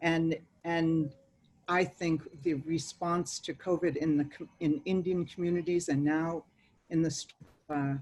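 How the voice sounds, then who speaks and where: With long, frequent pauses, a woman talks at a fairly slow pace in a monotone, flat intonation. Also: fairly low pitch for a woman. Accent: Boston. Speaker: native community organizer. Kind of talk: panel talk.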